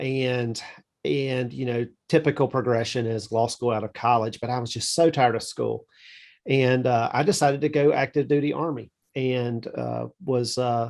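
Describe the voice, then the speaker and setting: A man speaks with a Southern US accent. His medium pitch follows fairly even intonation. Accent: Southern drawl. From US South, south Georgia. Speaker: estate planning attorney, army veteran. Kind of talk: interview. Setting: podcast.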